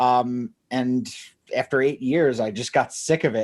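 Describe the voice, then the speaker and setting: Recorded very cleanly against a silent background, a man with an American accent and a plain, everyday voice speaks at a moderate pace, his medium pitch following a fairly even intonation. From New Jersey, US. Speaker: agency founder. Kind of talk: interview podcast.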